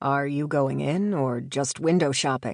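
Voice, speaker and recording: A raspy, put-on character voice at a low-to-middle pitch moves at a moderate pace over a quiet background. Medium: read story. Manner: casual, playful.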